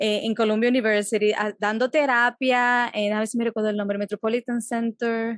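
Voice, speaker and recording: A woman talks in a monotone, flat intonation with hardly any pauses. The sound is dry and close, with no echo. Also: fairly high pitch for a woman, moderate pace. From Dominican Republic. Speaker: psychologist. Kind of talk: interview. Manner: halting.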